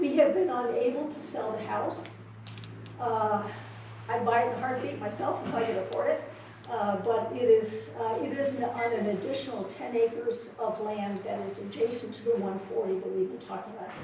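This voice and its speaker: A woman at a moderate pace, with long, frequent pauses and big swings in loudness, amid noticeable background noise and audible room echo. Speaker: land trust director. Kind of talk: public comment at a meeting. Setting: public meeting, at microphone. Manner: hesitant, many fillers.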